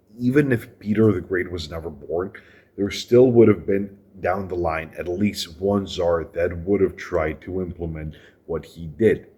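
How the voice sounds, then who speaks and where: A man speaks with a very deep, low pitch and a somewhat breathy quality. His pitch varies in an ordinary way, while his loudness swings widely. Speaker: history video creator. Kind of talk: casual history commentary narration.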